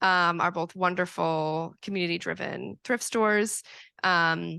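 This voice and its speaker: Speaking at a fairly slow pace, a woman with an American accent has a fairly low pitch, a bright, sharp tone and fairly even intonation over a quiet background. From Hudson Valley, New York. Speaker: sustainable fashion designer. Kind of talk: Q&A after a talk.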